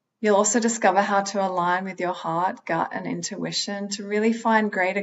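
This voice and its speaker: Speaking with an Australian accent, a woman keeps a moderate pace and fairly even intonation. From Australia, Sydney. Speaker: holistic psychologist, speaker. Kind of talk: motivational talk.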